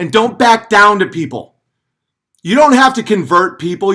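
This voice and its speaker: Over a very clean recording with a silent background, a man speaks at a moderate pace in a raised, projected voice, high in pitch with very wide pitch swings and a bright, sharp tone. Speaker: live streamer. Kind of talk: livestream rant. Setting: live stream. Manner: yelling.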